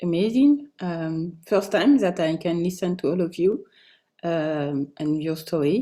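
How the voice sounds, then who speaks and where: Speaking at a fairly slow pace, a woman has a fairly low pitch, a dark, mellow tone and lively intonation. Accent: French. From France. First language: French. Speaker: co-author of a book. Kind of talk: online book launch talk.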